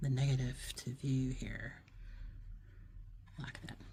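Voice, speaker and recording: A woman's somewhat breathy voice, dark, mellow and relaxed in tone, with fairly even intonation. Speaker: art teacher. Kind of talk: tutorial. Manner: relaxed, hesitant with fillers; whispering at times.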